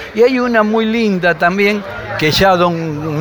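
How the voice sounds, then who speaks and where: A man at a fairly slow pace with ordinary pitch variation, over noticeable background noise. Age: 70s. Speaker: local motorsport historian. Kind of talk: interview.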